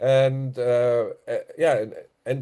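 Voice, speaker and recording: A man is speaking. He has a German accent. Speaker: conspiracy commentator. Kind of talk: casual monologue. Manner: halting.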